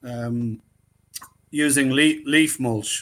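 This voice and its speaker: The intonation stays fairly even, with a bright, sharp tone. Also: man. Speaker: forestry campaigner. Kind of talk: talk presentation. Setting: video call.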